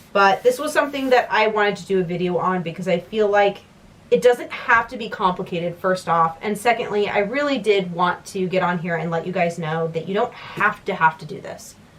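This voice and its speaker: A woman talks at a fairly quick pace and medium pitch. Noticeable background noise runs underneath. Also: ordinary pitch variation. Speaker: writing vlogger. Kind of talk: casual vlog talk to camera. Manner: fast.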